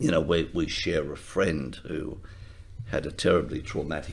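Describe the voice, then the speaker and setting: Over audible room echo, a man speaks at a moderate pace with vocal fry. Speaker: retired lawyer. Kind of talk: interview.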